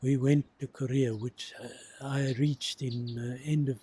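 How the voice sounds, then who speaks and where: A man speaks fairly slowly in a dark, mellow, somewhat breathy tone at a medium pitch. His intonation is monotone and flat, and the sound is dry and close with no echo. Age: 80s+. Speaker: war veteran. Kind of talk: interview testimony.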